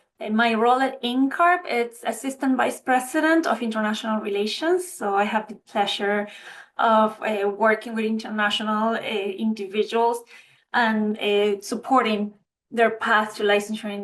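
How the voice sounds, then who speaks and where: Over a quiet background, a woman with an Argentine accent talks at a moderate pace. Her voice is fairly high, with ordinary pitch variation. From Argentina. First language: Spanish. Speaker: architect and licensing official. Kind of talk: webinar panel introduction.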